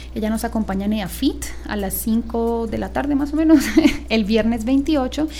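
Noticeable background noise runs beneath this woman's speech. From Bogotá, Colombia. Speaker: ornithology society director. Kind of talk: radio interview.

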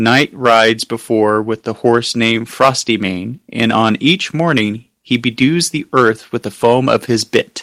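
With ordinary pitch variation, it is an unremarkable speaking voice. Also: man, medium pitch for a man. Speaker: podcast co-host and author. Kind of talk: casual chat.

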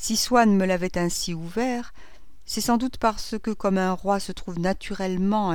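Ordinary pitch variation in plain reading aloud.

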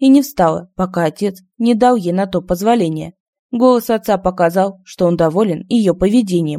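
A quiet background behind plain reading aloud

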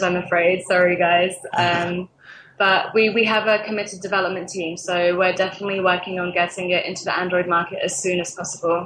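The delivery is monotone, with flat intonation. Noticeable background noise runs underneath. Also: woman. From England. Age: 20s. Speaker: social media manager at a games startup. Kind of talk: interview.

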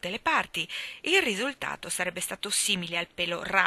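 Someone is plainly reading aloud. The intonation is lively.

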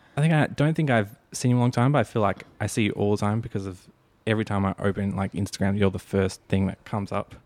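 A man with an Australian accent talks at a very fast pace and fairly low pitch with ordinary pitch variation, in a dry, close sound with no echo on a very clean recording with a silent background. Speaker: podcast host and filmmaker. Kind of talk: casual interview chat.

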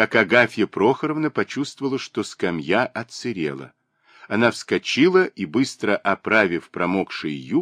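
The background stays quiet. Over it comes plain reading aloud.

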